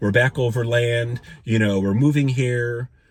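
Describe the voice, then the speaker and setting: Recorded very cleanly with a silent background, a man speaks at medium pitch in a somewhat breathy voice. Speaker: spiritual vlogger. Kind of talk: personal storytelling monologue. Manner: fast; animated.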